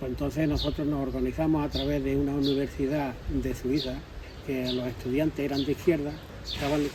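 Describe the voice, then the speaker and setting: A man speaks fairly quickly in a room with audible echo and noticeable background noise. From Andalusia, Spain (Arriate, Málaga). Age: 70s. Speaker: interviewee, former political activist. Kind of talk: testimony.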